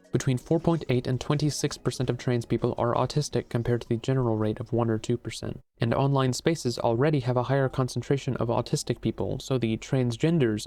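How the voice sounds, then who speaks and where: In a dark, mellow tone, a man talks very fast at a medium pitch, with fairly even intonation and hardly any pauses. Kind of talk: video essay narration.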